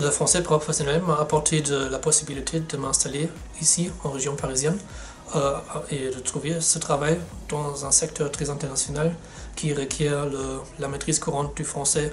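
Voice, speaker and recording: In a German accent, a man speaks at a moderate pace with a fairly high pitch and monotone, flat intonation, amid noticeable background noise and audible room echo. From Germany. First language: German (speaking French). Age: 20s. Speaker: sales representative. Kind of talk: testimonial interview. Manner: halting, with hesitations.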